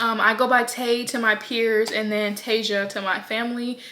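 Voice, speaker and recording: A woman speaks at a fairly high pitch with a monotone, flat intonation. Background noise is noticeable. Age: 20s. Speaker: vlogger. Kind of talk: casual vlog talk. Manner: chatty, hesitant with fillers.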